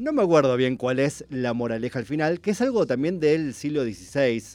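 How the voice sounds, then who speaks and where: A man talks with lively intonation, keeping his pace moderate. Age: 40s. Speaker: writer. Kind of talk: casual radio chat.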